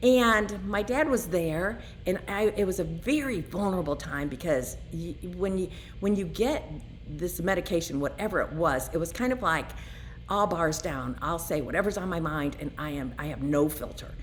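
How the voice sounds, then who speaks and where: At a moderate pace, a woman talks in an animated tone, with audible echo from the room. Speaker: recovering alcoholic vlogger. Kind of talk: personal testimony.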